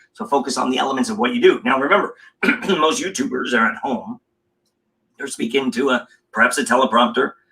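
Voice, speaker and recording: A man with an American accent and a fairly high pitch talks at a very fast pace. His pitch swings very widely, and he leaves long, frequent pauses. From Los Angeles, US. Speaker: communication coach. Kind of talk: casual interview chat. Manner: animated.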